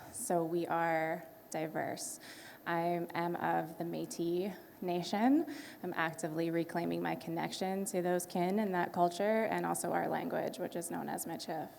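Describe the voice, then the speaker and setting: A woman at a moderate pace, with audible room echo. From Canada. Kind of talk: panel discussion.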